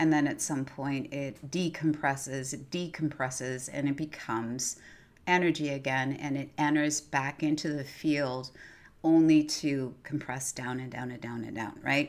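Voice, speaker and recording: On a very clean recording with a silent background, a woman with a very deep, low voice speaks at a fairly slow pace, her intonation fairly even and her loudness swinging widely. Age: 60s. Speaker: spiritual talk show host. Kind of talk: live stream monologue. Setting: live stream. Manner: repetitive, halting with fillers.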